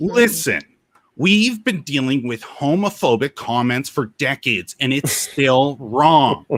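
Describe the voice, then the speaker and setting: A man's whiny, put-on character voice at a medium pitch, delivered at a fairly slow pace. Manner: exaggerated, whining.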